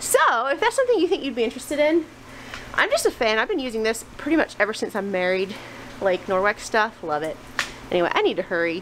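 Over faint background noise, a woman talks fast in a fairly high voice with big pitch swings.

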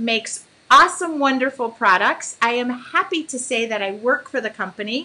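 A woman's high-pitched voice with a bright, sharp tone and lively intonation. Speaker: artist hosting a live stream. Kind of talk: casual live-stream chat. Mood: excited, a bit nervous. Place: home room. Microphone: webcam.

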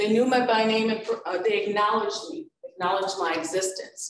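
She has an unremarkable speaking voice at medium pitch for a woman. Her pace is fairly quick, with ordinary pitch variation. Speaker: college professor and moderator. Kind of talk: panel discussion. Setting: campus event with audience.

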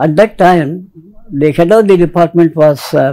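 A man's high, dark and mellow voice at a fairly slow pace, with ordinary pitch variation, over a quiet background. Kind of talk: interview answer. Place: studio. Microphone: lapel.

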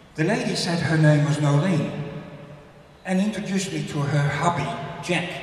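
With long, frequent pauses and strong room echo, a man talks at a moderate pace in fairly even intonation. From Netherlands. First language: Dutch. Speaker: author. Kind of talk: speech. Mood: grateful, honoured. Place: hall.

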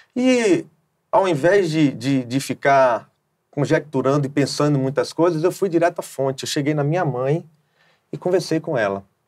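Over a quiet background, a man with a fairly high pitch speaks at a moderate pace. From Bahia, Brazil. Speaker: gospel singer; interview guest. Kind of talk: testimony. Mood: calm, reflective. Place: studio. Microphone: lapel.

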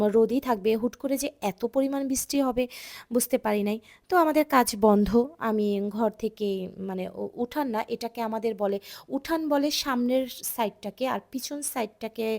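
A woman speaks in a fairly high pitch with ordinary pitch variation. The sound is dry and close, with no echo. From Bangladesh, Dhaka. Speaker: vlogger. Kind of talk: vlog narration.

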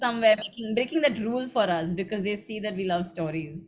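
A woman with an unremarkable speaking voice, fairly quick pace and ordinary pitch variation. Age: 20s. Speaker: interviewer, literary platform co-founder. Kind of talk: interview.

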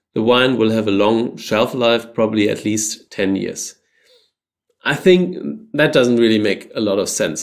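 A man talks at a fairly slow pace, his pitch varying in an ordinary way, over a quiet background. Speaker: presenter. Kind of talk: casual commentary. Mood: mildly skeptical.

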